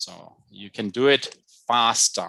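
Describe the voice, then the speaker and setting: A man speaks with a German accent in a bright, sharp tone. The background is quiet. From Germany. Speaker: chemistry professor. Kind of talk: lecture. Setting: video call.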